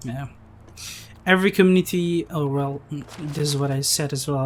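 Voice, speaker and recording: With a non-native accent, the words come at a fairly quick pace. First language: not English. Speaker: gaming YouTuber. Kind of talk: casual chat.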